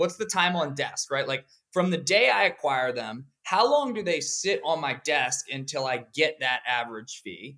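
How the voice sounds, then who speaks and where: In an American accent, a man with a fairly high pitch and a bright, sharp tone speaks at a fairly slow pace with lively intonation. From Pennsylvania, US. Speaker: law firm CEO and lawyer. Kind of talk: interview.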